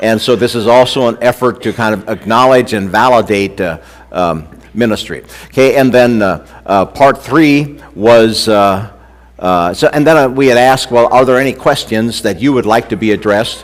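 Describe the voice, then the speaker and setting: Pitch rises and falls in an ordinary way. The speech keeps a moderate pace. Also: man, medium pitch for a man. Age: 60s. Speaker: preacher. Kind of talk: sermon. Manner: halting, many fillers.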